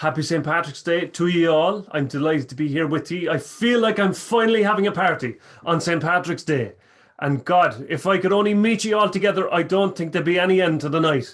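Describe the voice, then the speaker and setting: A man with a strong Irish accent and a high pitch talks fairly quickly with ordinary pitch variation. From Ireland, County Cork. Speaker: storyteller and musician. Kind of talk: storytelling.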